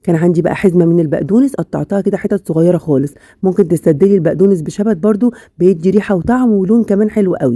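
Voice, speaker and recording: Delivered at a very fast pace, the speech has ordinary pitch variation and a dry, close sound with no echo. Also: woman. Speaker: cooking channel host. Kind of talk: cooking tutorial. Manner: casual, chatty.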